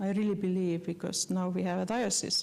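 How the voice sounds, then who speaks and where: The speaker has a dark, mellow tone and talks with an Estonian accent. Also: woman. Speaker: postulator of a beatification cause, lecturer. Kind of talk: lecture. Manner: halting, many fillers.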